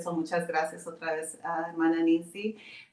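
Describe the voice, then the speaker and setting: A woman with a fairly low voice. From Arizona, US (Tucson). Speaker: pastor's wife. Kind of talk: interview. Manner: halting, many filler sounds.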